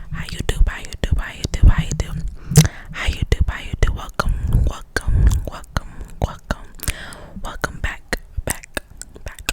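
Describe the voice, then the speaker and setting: A woman whispers at a moderate pace with long, frequent pauses and big swings in loudness, against noticeable background noise. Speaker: nursing student. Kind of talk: ASMR whispered casual talk to camera. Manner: whispered.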